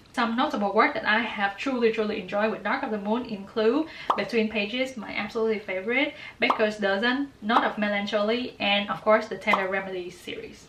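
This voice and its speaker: A woman's fairly high voice at a fairly quick pace, with noticeable background noise. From Vietnam. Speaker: graduate student, book and fanfiction reviewer. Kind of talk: casual talk to camera. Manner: warm, enthusiastic.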